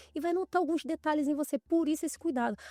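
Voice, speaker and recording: Dark and mellow in tone, a woman talks at a very fast pace, her sound dry and close with no echo. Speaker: podcast host and image consultant. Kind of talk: casual interview chat.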